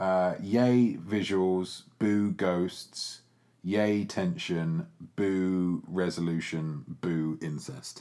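Speaking in an English accent, the voice moves at a very slow pace with ordinary pitch variation. Its tone is dark and mellow. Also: man, very deep, low pitch for a man. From England. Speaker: film podcast host. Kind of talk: casual chat.

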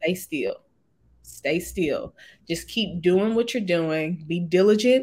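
A woman with an American accent speaks at a very slow pace, her medium-pitched voice somewhat breathy, with ordinary pitch variation. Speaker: lobbyist. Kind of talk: interview.

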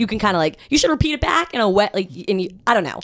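A woman at a medium pitch, very fast pace, with very wide pitch swings. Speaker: radio host.

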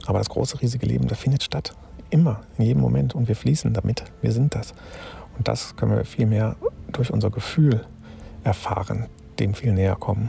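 A man's fairly low voice with very wide pitch swings, a fairly quick pace, long and frequent pauses, and noticeable background noise. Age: 50s. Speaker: spiritual self-help podcaster. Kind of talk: spontaneous reflective monologue. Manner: halting, with filler sounds.

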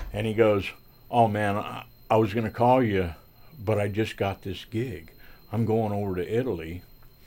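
The dark, mellow voice has fairly even intonation and long, frequent pauses. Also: man, fairly low pitch for a man, moderate pace. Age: 60s. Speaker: sound engineer and guitarist. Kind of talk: interview storytelling. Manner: smiling while talking.

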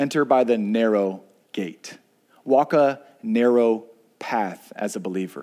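A man with a medium-pitched, dark, mellow voice speaks at a fairly slow pace, using ordinary pitch variation and long, frequent pauses. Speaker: pastor. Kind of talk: sermon. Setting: church. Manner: stutters when excited.

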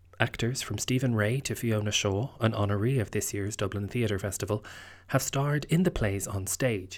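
A man with an Irish accent speaks at a moderate pace and a fairly low pitch. His pitch variation is ordinary, in a very clean recording with a silent background. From Ireland. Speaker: podcast host and theatre maker. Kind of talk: scripted narration. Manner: formal.

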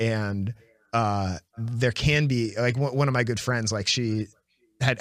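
On a very clean recording with a silent background, a man talks with fairly even intonation. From Washington DC area, US. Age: 30s. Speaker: podcast host. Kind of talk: casual chat.

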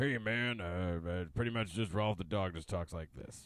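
A man's gruff, put-on character voice, very deep and low in pitch, at a moderate pace. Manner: laid-back, talking like a dog.

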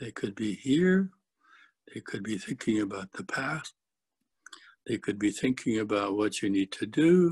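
Against a quiet background, a man speaks in a fairly low, somewhat breathy voice with a calm, gentle tone and lively intonation, at a fairly slow pace with long, frequent pauses, in a dry, close sound with no echo. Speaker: Satir model trainer. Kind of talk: guided meditation. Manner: slow, calm, gentle; soft-spoken, measured.

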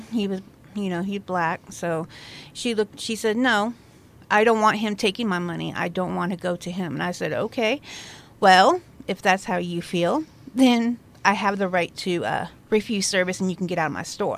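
A woman with an American accent and a normal speaking voice talks at medium pitch and a moderate pace, with ordinary pitch variation. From Central Oregon, La Pine. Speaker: host's wife, former retail manager. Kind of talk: casual chat.

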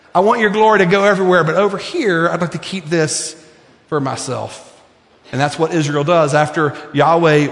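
A man with a high pitch and ordinary pitch variation speaks at a moderate pace, with audible room echo and noticeable background noise. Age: 50s. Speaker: preacher. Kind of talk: sermon.

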